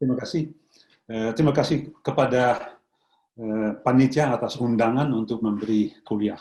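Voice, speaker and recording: Speaking at a moderate pace, a man with a medium pitch and a dark, mellow tone uses ordinary pitch variation. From Netherlands. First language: Dutch (speaking Indonesian). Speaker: professor. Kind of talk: lecture. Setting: video call. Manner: halting.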